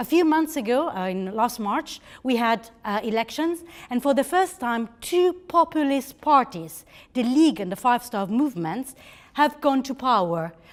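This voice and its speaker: A woman with an Italian accent, high-pitched and with very wide pitch swings, on a very clean recording against a silent background. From Italy. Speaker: think-tank representative. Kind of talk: conference speech. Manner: halting.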